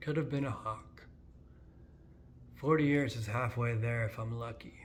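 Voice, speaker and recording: With audible room echo, a man talks at a medium pitch with ordinary pitch variation and a somewhat breathy quality. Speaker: poet. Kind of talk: poetry reading. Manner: halting.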